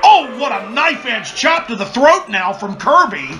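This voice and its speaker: A man speaks at a moderate pace in a raised, projected voice. Noticeable background noise is present. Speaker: wrestling commentator. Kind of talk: play-by-play wrestling commentary.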